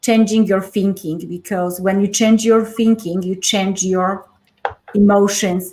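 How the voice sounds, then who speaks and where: A woman reads at a fairly slow pace and a medium pitch. Her intonation stays monotone and flat. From Poland. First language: Polish. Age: 40s. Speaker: life coach. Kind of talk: interview.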